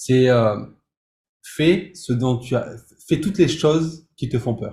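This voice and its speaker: Very slow and somewhat breathy, a man talks with a dark, mellow tone. His pitch is medium with ordinary variation. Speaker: music composer and producer, entrepreneur. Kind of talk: interview. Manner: halting, many repetitions.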